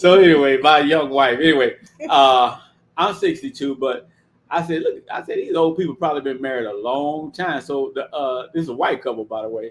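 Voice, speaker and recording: Moving at a fairly quick pace, a man uses a fairly high pitch with ordinary pitch variation. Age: 60s. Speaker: guest sharing life experience. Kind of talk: casual interview conversation. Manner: animated storytelling.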